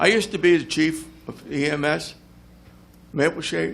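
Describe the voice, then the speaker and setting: A man with an American accent and vocal fry, amid audible room echo. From New Jersey (South Jersey). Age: 70s. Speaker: retired volunteer firefighter and EMS veteran. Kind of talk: public comment at council meeting. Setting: council meeting room with audience.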